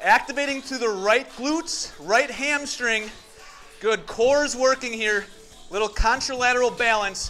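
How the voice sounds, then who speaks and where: A man speaks in a raised, projected voice with ordinary pitch variation. Faint music plays in the background. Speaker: fitness instructor. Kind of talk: workout instruction. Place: empty room.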